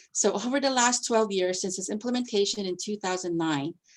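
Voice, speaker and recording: A woman with a plain, everyday voice, fairly quick, with ordinary pitch variation. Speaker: district finance staff presenter. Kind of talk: presentation at board committee meeting.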